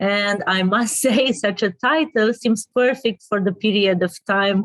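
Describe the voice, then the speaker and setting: Her pitch sits fairly high. The woman speaks at a very slow pace. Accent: Romanian. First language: Romanian. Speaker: interviewer. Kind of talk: interview. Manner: halting.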